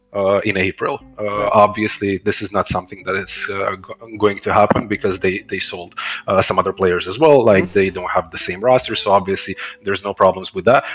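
A man speaks at a fairly low pitch. Noticeable background noise runs underneath. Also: fairly even intonation, fairly quick pace. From Croatia. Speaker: esports director. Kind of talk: casual interview.

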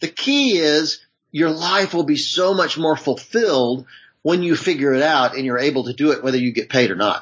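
A man with an American accent speaks at a moderate pace in an unremarkable speaking voice. His pitch is fairly high and varies in an ordinary way. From US South, Charlotte, North Carolina. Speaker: media producer and author. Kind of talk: interview.

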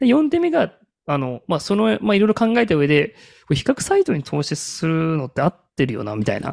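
A man talks at a fairly quick pace in a fairly high voice with very wide pitch swings, recorded very cleanly against a silent background with a dry, close sound and no echo. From Kagoshima, Japan. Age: 30s. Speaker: marketing consultant. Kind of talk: casual chat.

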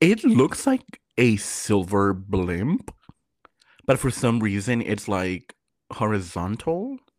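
Speaking at a very slow pace, a man with a fairly low pitch and ordinary pitch variation is heard on a very clean recording with a silent background. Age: 20s. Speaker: podcast co-host. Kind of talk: casual chat.

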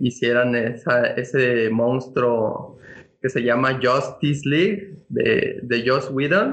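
Very slow speech from a man with a Mexican accent and ordinary pitch variation. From Mexico. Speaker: comics fan commentator. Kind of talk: casual chat.

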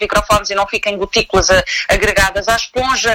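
Over noticeable background noise, a woman speaks at a fairly quick pace in a fairly high pitch. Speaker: TV news journalist. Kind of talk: interview. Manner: halting.

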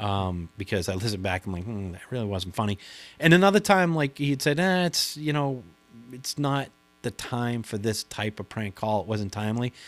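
This man has a Boston accent and a medium pitch. He talks at a moderate pace with lively intonation, and the recording is very clean with a silent background. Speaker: prank caller. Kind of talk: casual interview.

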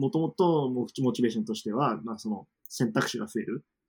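This man has an ordinary speaking voice at a medium pitch. He talks at a fairly quick pace with lively intonation. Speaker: former university student in the UK. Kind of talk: casual interview chat. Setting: online call.

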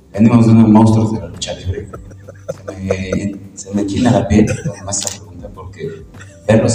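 A man at a fairly low pitch speaks at a moderate pace in a monotone, flat intonation, with audible room echo and noticeable background noise. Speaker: professional wrestler and event presenter. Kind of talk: press conference.

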